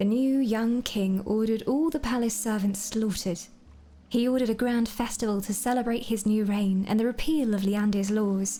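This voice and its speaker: A woman speaks calmly at a moderate pace in a fairly high, somewhat breathy voice with a dark, mellow tone and fairly even intonation. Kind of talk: lore book reading, bedtime story ASMR. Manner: soft-spoken, calm.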